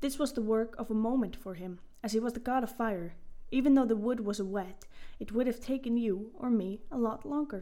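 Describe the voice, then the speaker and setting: Speaking at a fairly quick pace, a woman with a fairly high pitch and a dark, mellow tone uses ordinary pitch variation. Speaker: podcast host and storyteller. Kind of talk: mythic storytelling narration, read aloud from a retelling. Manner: expressive storyteller, with dramatic character lines; friendly, casual intro and outro.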